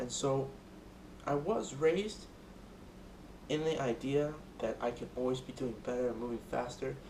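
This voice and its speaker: A man at medium pitch with ordinary pitch variation, a moderate pace, long, frequent pauses, and audible room echo. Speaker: student. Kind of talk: speech rehearsal. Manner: loud.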